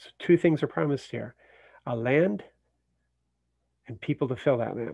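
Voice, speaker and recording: Long, frequent pauses break up a man's speech, which has a dark, mellow tone, vocal fry, lively intonation and big swings in loudness. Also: medium pitch for a man, moderate pace. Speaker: Bible teacher. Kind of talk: Bible study talk. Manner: halting.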